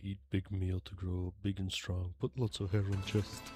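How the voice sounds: A man's put-on character voice in a Russian accent, very deep and low in pitch, at a moderate pace over clear background noise.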